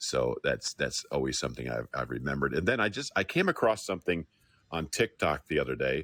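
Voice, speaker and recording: With a very deep, low voice and vocal fry, a man talks at a fairly quick pace with lively intonation, the sound dry and close with no echo. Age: 60s. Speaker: audience member speaking up. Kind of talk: casual chat.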